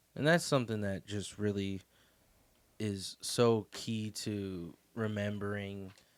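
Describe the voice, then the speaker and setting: In a very clean recording with a silent background, a man speaks at a very slow pace in a fairly low pitch with ordinary pitch variation. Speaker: book club podcast host. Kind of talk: casual discussion. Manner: stuttering, halting.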